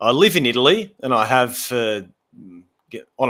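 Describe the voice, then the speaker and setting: Using lively intonation and a medium pitch, a man with an Australian accent talks at a moderate pace. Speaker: landscape photographer. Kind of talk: casual chat. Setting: live stream.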